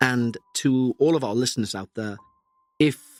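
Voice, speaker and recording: A man speaks at a moderate pace and medium pitch with fairly even intonation, the sound dry and close with no echo and music playing in the background. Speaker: paranormal podcast host. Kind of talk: podcast commentary.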